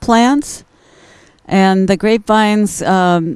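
A woman with ordinary pitch variation, a quiet background, and a dry sound with no echo. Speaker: host of a gardening show. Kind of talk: commentary. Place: garden. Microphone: handheld.

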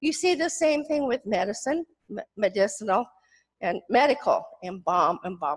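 Over a quiet background, a woman speaks at a moderate pace in a high voice with very wide pitch swings. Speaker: retired professor, author; retired professor. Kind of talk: academic presentation. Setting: stage with audience. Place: hall.

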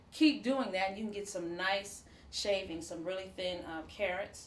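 Amid audible room echo, a woman speaks at a moderate pace with ordinary pitch variation. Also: medium pitch for a woman.

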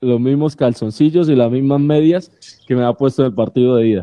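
The background stays quiet while a man talks. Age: 30s. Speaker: sports radio panelist; radio panelist. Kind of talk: casual chat on a live sports radio show. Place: home room.

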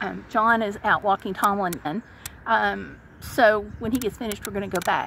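A woman talks at a moderate pace. The sound is dry with no echo, with light background noise. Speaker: vlogger. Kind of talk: casual vlog chat. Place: car. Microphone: phone near.

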